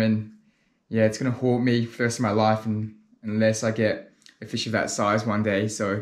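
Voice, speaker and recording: The voice is a man's. Behind him, the background is quiet. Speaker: spearfishing vlogger. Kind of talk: casual vlog chat. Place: home room.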